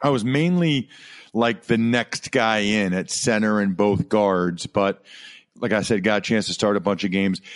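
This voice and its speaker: A man with an unremarkable speaking voice, fairly low in pitch, with ordinary pitch variation, a moderate pace, very even loudness and a dry, close sound with no echo. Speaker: former football player and sports broadcaster. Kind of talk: casual interview.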